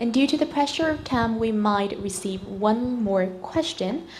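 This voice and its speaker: Fairly high-pitched woman at a moderate pace, with audible room echo and noticeable background noise. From Vietnam. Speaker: webinar host. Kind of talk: webinar moderating.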